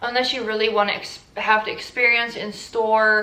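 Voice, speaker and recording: Amid noticeable background noise and audible room echo, a woman with a Dutch accent speaks at a fairly quick pace in a medium pitch. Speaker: fashion YouTuber. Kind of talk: casual vlog talk.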